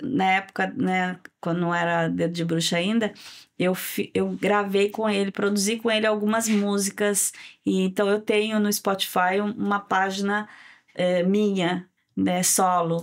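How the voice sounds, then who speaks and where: A woman's flat, monotone voice at a fairly slow pace, very even in loudness, on a very clean recording with a silent background. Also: medium pitch for a woman. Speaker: singer and cultural producer. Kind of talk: interview conversation. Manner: halting.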